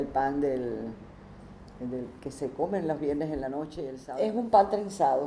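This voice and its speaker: A woman's very deep, low voice at a moderate pace with ordinary pitch variation, with noticeable background noise and audible room echo. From Cuba, Havana. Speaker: interviewee. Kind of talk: testimony. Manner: halting.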